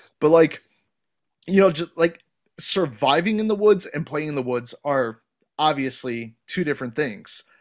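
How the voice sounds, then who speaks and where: On a very clean recording with a silent background, a man with a normal speaking voice talks in an American accent, fairly high in pitch and with lively intonation. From Ohio. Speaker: podcast host. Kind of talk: casual chat.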